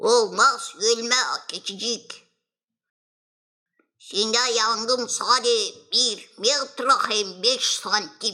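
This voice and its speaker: In a cartoonish character voice that sounds female, the speaker goes very slowly at a fairly high pitch, with long, frequent pauses. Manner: gentle, caring.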